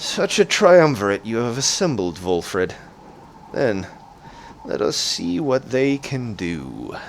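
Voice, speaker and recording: A man puts on a strained character voice at a medium pitch, moving at a fairly slow pace. Long, frequent pauses break it up over light background noise. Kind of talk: archaic, formal. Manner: grand, formal, sinister.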